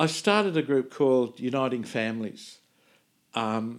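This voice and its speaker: With an Australian accent, a man talks at a fairly slow pace. His medium pitch shows ordinary variation. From Sydney, Australia. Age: 70s. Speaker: minister and charity founder. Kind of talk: casual interview conversation.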